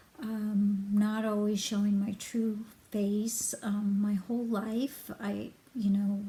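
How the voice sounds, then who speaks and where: Very slowly, a woman speaks in a fairly high, somewhat breathy voice with a dark, mellow tone. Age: 60s. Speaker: hypnosis client giving a review. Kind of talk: testimonial. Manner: halting, many fillers.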